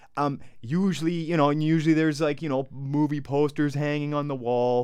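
At a moderate pace, a man talks in a fairly high pitch. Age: 40s. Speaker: podcast co-host. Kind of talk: casual chat. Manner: hesitant, many fillers.

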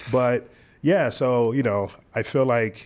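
Intonation stays fairly even as a man speaks with an American accent. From Philadelphia and Delaware, US. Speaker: DJ and entrepreneur. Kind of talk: interview.

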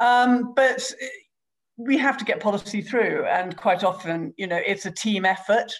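A woman speaks fairly slowly with ordinary pitch variation. Her fairly high voice is somewhat breathy. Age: 50s. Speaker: politician. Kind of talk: interview.

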